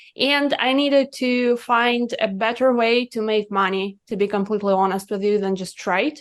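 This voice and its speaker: A woman with a Russian accent speaks at a moderate pace with ordinary pitch variation against a quiet background. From Russia, Siberia (Irkutsk). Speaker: cannabis business consultant. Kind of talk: podcast interview.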